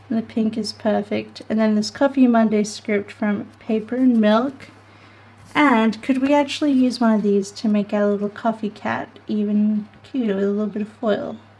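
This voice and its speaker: Here a woman with a fairly high pitch speaks at a fairly slow pace. Her intonation stays fairly even. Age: 30s. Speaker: planner vlogger. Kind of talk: casual craft tutorial vlog; casual vlog chat. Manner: chatty, rambling with many fillers. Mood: relaxed, chatty. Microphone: studio mic.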